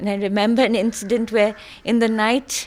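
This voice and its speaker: A woman speaks at a medium pitch. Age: 60s. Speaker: eyewitness to a historical massacre. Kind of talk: oral history interview. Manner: halting.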